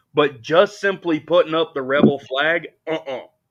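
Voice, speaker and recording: With a Southern US accent, a man talks at a fairly slow pace. His pitch varies in an ordinary way. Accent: Southern American. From US South, Alabama. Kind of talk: casual chat.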